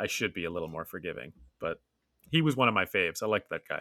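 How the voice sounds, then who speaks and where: Talking at a very fast pace, a man with an American accent uses a fairly low pitch, very wide pitch swings, and a bright, sharp tone. The sound is dry and close with no echo, on a very clean recording with a silent background. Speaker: sports podcast co-host. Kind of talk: casual chat. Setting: studio.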